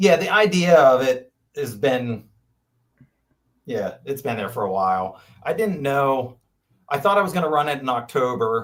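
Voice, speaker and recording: A man speaks at a moderate pace with long, frequent pauses. His fairly high voice moves in very wide pitch swings. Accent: Pennsylvania. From Pennsylvania, Franklin County. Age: 50s. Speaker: ultrarunner. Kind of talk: casual chat.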